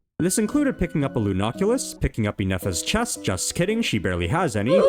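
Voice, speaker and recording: A man talks at a very fast pace. Music plays behind him. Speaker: gaming YouTuber. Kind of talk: comedic scripted gameplay narration. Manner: animated, joking.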